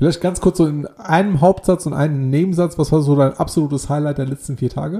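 Speaking at a very fast pace with hardly any pauses, a man uses a fairly high pitch and ordinary pitch variation. His tone is dark and mellow, and somewhat breathy. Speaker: podcast co-host. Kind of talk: casual chat.

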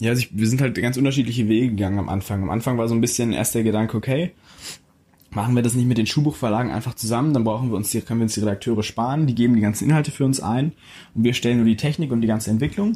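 Very fast speech comes from a man whose tone is dark and mellow. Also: medium pitch for a man, ordinary pitch variation. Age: young. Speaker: young startup founder. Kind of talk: interview.

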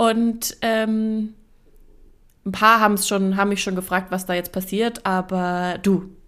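The delivery is very slow and monotone, with flat intonation throughout. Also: woman, medium pitch for a woman. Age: 20s. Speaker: podcast co-host. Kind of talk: casual chat. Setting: video call.

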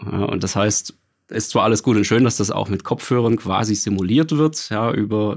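Over a silent background in a very clean recording, a man with a plain, everyday voice speaks fairly quickly at a fairly low pitch. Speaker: home cinema consultant. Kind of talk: casual interview.

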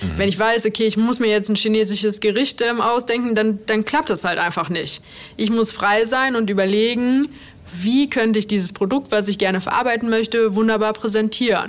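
The speech moves at a moderate pace with fairly even intonation and very even loudness. Noticeable background noise is present. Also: woman, fairly high pitch for a woman. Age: 30s. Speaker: chef, restaurant owner. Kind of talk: interview.

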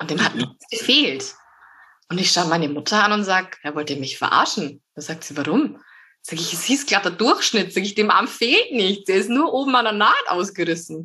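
A woman talks at a moderate pace against a quiet background, her medium pitch making very wide swings. Her tone is bright and sharp. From Bavaria, Upper Palatinate. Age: 20s. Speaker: amputee, prosthesis user. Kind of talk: casual interview.

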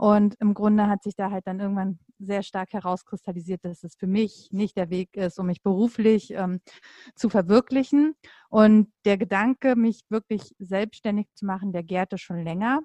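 Dark, mellow tone from a woman at a medium pitch and moderate pace, fairly even in intonation, dry and close with no echo against a quiet background. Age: 30s. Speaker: coach and mother. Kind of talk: casual interview. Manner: hesitant with many fillers.

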